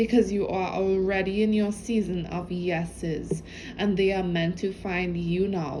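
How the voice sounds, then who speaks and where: A woman speaks over noticeable background noise, and audible room echo colors the sound. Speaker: spiritual channel reader. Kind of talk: intuitive message reading. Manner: halting; casual.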